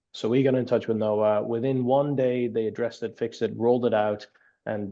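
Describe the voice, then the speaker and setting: With a Dutch accent, a man of medium pitch speaks with fairly even intonation. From Netherlands. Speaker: app company founder. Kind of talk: podcast interview. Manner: repeats words, halting starts.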